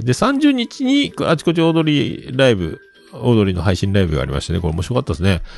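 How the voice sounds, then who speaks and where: Music plays behind a man talking at a fairly quick pace. His pitch swings very widely. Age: 50s. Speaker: podcast host. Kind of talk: casual solo talk. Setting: home studio.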